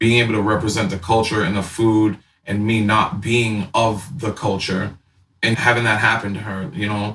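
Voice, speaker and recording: A man with a fairly low voice talks at a moderate pace with fairly even intonation, an ordinary speaking voice. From Boston. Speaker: chef. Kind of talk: casual interview chat.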